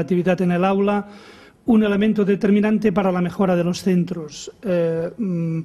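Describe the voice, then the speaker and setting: In a Catalan accent, a man with a high voice and a dark, mellow tone speaks at a fairly slow pace with fairly even intonation. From Catalonia. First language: Catalan (speaking Spanish). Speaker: education professor. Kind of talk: conference lecture. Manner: halting with repetitions.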